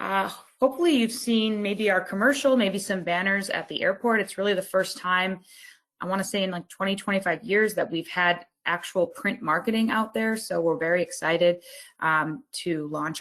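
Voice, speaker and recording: With an American accent, a woman talks at a moderate pace in a plain, everyday voice, medium in pitch with ordinary pitch variation. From US East Coast. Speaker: company partnerships executive. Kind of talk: business presentation. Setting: online webinar.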